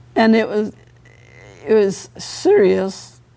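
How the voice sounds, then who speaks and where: A woman speaks in a dark, mellow tone. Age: 80s+. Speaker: evangelist. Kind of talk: testimony. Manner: conversational.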